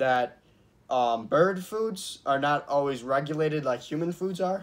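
Ordinary pitch variation runs through this man's speech. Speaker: vlogger. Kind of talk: casual vlog chat. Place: home room. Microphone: camera far.

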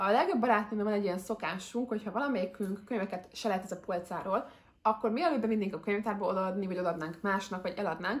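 A somewhat breathy woman's voice at a medium pitch, very fast in pace, with ordinary pitch variation. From Hungary. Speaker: book vlogger. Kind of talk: casual chat. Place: home room.

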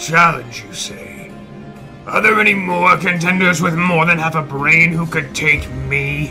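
Someone speaks at a fairly slow pace in a put-on character voice. Music plays clearly in the background. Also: man, fairly high pitch for a man. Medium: machinima. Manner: curt, sullen, arrogant.

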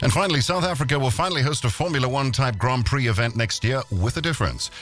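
A man at a very fast pace, dry sound with no echo, faint music in the background. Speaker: radio host. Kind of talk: parody radio news read. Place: studio.

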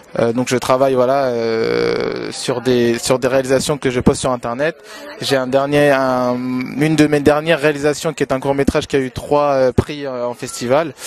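A man speaks at a moderate pace in a monotone, flat intonation. The sound is dry with no echo, over light background noise. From Congo-Brazzaville. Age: 20s. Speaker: male pageant winner, actor and director; interviewee. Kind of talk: interview. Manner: hesitant, many fillers. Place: street. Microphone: handheld.

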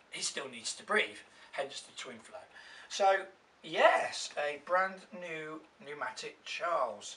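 Over noticeable background noise, a man with an English accent speaks very slowly at a high pitch, with lively intonation, big swings in loudness, and long, frequent pauses. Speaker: vacuum cleaner YouTuber. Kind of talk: unboxing and product review.

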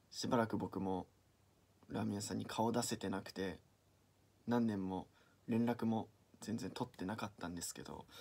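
Speaking with long, frequent pauses, a man with a fairly low pitch and a dark, mellow tone comes through in a very clean recording with a silent background. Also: fairly even intonation, moderate pace. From Niigata, Japan. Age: 20s. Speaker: aspiring actor. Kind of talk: audition self-introduction and anecdote.

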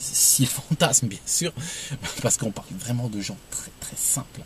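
Light background noise sits under a man talking at a moderate pace. The sound is dry with no echo. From Algeria. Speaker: video blogger giving opinions. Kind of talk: opinionated monologue to camera. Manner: hesitant, repeats words. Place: car. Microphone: phone near.

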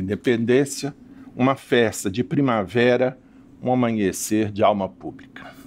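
The delivery is fairly slow. Pitch varies in an ordinary way. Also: man. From Brazil, Minas Gerais. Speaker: literature professor. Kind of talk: lecture. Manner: reading aloud. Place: hall.

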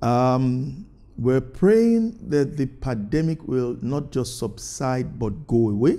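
Dark and mellow in tone, a man talks at a fairly slow pace. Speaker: pastor. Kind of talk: sermon. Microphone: lapel.

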